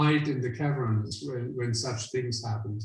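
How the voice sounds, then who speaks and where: Amid noticeable background noise and audible room echo, a man with a German-speaking European accent talks at a moderate pace. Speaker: visiting lecturer, climate scientist professor. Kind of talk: Q&A after a scientific lecture. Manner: hesitant, many fillers.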